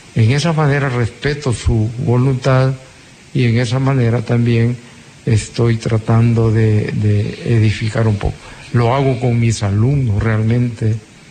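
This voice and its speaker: The delivery comes at a fairly slow pace with fairly even intonation. Loudness stays very even over noticeable background noise. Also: man, medium pitch for a man. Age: old. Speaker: agronomist, university lecturer, radio guest. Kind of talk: personal testimony on radio. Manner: halting.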